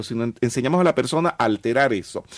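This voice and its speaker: In a dry, close sound with no echo, a man at medium pitch talks very fast with lively intonation. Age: 50s. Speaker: metaphysics teacher. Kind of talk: interview.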